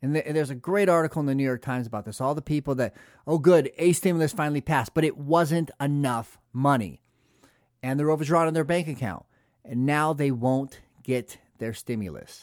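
A man with an American accent and an unremarkable speaking voice talks at a fairly quick pace and fairly high pitch with ordinary pitch variation, the sound dry and close with no echo on a very clean recording with a silent background. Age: 40s. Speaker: podcast host. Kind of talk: political commentary monologue.

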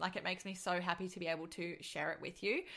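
Speaking at a very fast pace with an American accent, a woman has a medium pitch, an animated tone and a bright, sharp tone. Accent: Australian, briefly slipping to American. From Australia. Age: 20s. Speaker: podcast host and business coach. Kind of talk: casual monologue.

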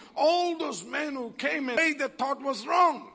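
A man's animated, raised and projected voice, extremely high-pitched, with lively intonation. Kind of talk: sermon with charismatic prayer and call-and-response. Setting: church. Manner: animated, fervent, exhorting the congregation; rhythmic, repetitive, praise-driven.

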